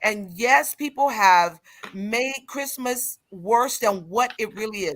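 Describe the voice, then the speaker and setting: A woman's very slow speech with lively intonation. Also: fairly high pitch for a woman. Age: 60s. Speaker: pastor. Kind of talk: casual chat. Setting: studio.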